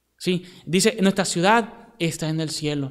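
A man speaks over noticeable background noise. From Venezuela. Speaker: missionary preacher. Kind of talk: sermon.

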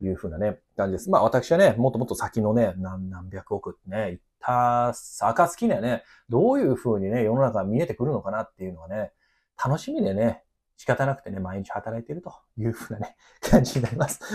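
The delivery is fairly quick, with lively intonation and big swings in loudness. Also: man. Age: 30s. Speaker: gardener and company owner. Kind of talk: casual monologue. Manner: filler-heavy, relaxed. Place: office.

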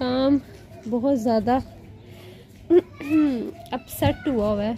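A woman's high-pitched voice at a very slow pace, with light background noise. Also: ordinary pitch variation. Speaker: vlogger. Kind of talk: casual talk to camera. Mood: somewhat upset, complaining. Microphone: phone near.

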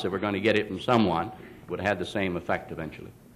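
A man talks at a very fast pace with ordinary pitch variation. Light background noise sits under his voice. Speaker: politician giving speech. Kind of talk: speech. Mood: persuasive, lightly humorous. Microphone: podium.

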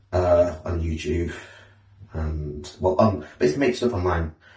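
A man speaks at a fairly slow pace in a very deep, low pitch with a dark, mellow tone and ordinary pitch variation. The background is quiet, but room echo is audible. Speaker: vlogger. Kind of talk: casual vlog chat. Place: bathroom. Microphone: camera far.

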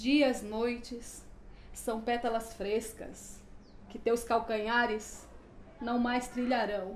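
Audible room echo and light background noise surround a woman's voice. She speaks at a very slow pace in a monotone, flat intonation. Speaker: poet. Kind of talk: poetry reading. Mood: emotional, mournful. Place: home room.

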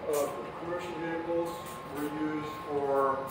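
A man speaks at a slow pace. Background noise is clearly audible.

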